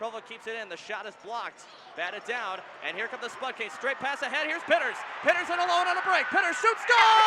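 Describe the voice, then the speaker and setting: Over noticeable background noise, a man talks very fast in a raised, projected voice of extremely high pitch, with very wide pitch swings and big swings in loudness. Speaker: sports play-by-play announcer. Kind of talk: hockey play-by-play commentary. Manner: fast, excited, energetic.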